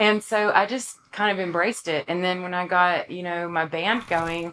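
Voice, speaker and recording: A woman talks with an American accent in a bright, sharp tone. Her pitch is fairly low, with ordinary pitch variation. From East Texas (Longview). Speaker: country singer-songwriter. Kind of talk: casual interview chat. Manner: animated.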